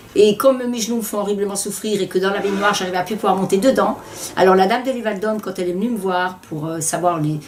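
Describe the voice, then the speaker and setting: Noticeable background noise sits behind a woman talking at a very fast pace. Her pitch is medium, with ordinary pitch variation. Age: 70s. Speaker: home adaptation beneficiary. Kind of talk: testimony. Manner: halting.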